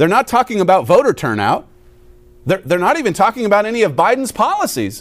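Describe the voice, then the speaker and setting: The speech comes at a very fast pace with very wide pitch swings. Its loudness stays very even. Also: man, high pitch for a man. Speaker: radio host. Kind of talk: political commentary and sermon. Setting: studio.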